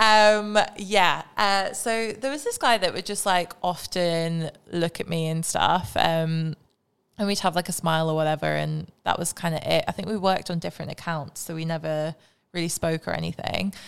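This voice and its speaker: A woman talks in a fairly low pitch with a plain, everyday voice. The recording is very clean, with a silent background. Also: ordinary pitch variation, moderate pace. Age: 20s. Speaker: podcast co-host and model. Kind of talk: casual chat.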